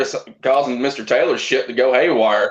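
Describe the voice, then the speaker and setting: A Southern US accent comes through here. The speaker is a man. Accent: southern drawl. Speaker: backyard wrestler. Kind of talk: casual chat with wrestling trash talk.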